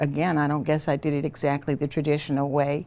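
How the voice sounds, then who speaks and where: With a Southern Louisiana accent, a woman speaks in a very deep, low voice with a dark, mellow tone. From Louisiana, St. Charles Parish. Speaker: retired federal judge. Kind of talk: oral history interview.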